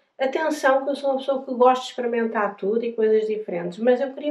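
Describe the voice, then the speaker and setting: In a European Portuguese accent, a woman speaks at a high pitch. Her pitch varies an ordinary amount. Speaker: travel vlogger, pilgrim. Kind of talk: casual storytelling to camera. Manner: hesitant, many fillers and repetitions.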